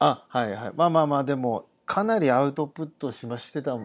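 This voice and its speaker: A man speaks in a normal speaking voice at a moderate pace against a quiet background. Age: 40s. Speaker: podcast host. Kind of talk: casual interview.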